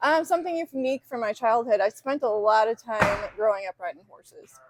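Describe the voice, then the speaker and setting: In a Chicago accent, a woman talks at a fairly quick pace and a fairly high pitch. Her intonation is lively, with big swings in loudness. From Chicago suburbs. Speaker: fitness coach. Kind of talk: casual interview.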